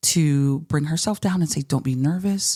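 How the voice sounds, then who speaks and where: A woman with an American accent and a very deep, low pitch, at a moderate pace, in a very clean recording with a silent background. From Pittsburgh, western Pennsylvania. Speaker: chef and culinary instructor. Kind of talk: podcast interview.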